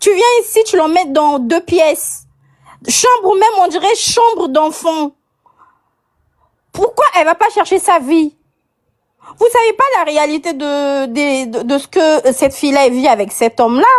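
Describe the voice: At a fairly slow pace, a woman speaks with a high pitch and ordinary pitch variation.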